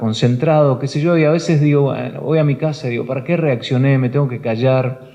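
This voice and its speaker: The speech comes at a very fast pace with fairly even intonation over noticeable background noise. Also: man. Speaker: broadcaster and news anchor for international networks. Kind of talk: talk to a live audience at a professional union hall. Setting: auditorium, live talk.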